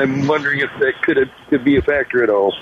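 A man speaks over noticeable background noise. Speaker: caller. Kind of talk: phone-in talk. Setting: phone call. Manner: halting.

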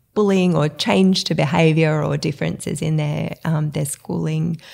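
A woman's very deep, low voice with vocal fry, in an Australian accent. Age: 40s. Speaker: entrepreneur. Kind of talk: interview.

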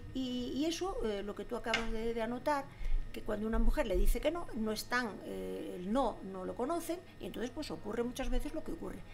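Against noticeable background noise and audible room echo, a woman talks at a fairly quick pace in a high pitch with lively intonation. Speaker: former local politician. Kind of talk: casual chat. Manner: halting.

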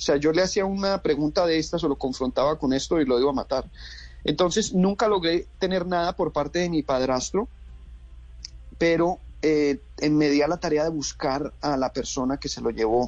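This man has a normal speaking voice, fairly high in pitch for a man, with ordinary pitch variation and a moderate pace. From Colombia. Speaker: actor and director. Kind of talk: interview. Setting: phone call.

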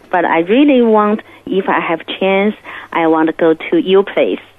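A woman with a Chinese accent, medium in pitch, at a fairly slow pace with very wide pitch swings. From Beijing, China. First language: Mandarin Chinese. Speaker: musician. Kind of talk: testimony. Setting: phone call. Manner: halting.

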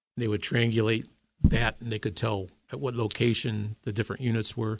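On a very clean recording with a silent background, a man at medium pitch speaks at a moderate pace, somewhat breathy and in a monotone, flat intonation. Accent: American. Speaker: army veteran. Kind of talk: interview. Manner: halting.

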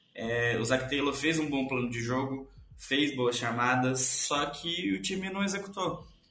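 A man speaks at a fairly slow pace with audible room echo. There is noticeable background noise too. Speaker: sports podcast co-host. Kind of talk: casual sports chat.

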